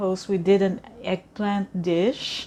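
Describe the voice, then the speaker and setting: A woman with a Filipino accent. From Philippines. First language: Tagalog. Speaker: cooking vlogger. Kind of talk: cooking tutorial. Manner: hesitant, many fillers.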